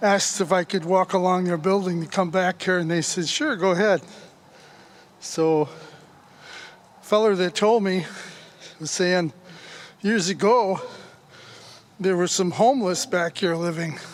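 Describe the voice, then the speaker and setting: Pausing long and often, a man speaks at a fairly slow pace in a high pitch with ordinary pitch variation. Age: 70s. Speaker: railroad history vlogger. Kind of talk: casual walking vlog narration. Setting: outdoors. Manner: folksy, conversational.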